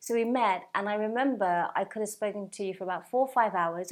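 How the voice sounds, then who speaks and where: A woman talks at a very fast pace. Her pitch sits in the middle, and the background is quiet. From English West Midlands, Walsall. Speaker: show host and journalist. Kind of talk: interview. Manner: animated.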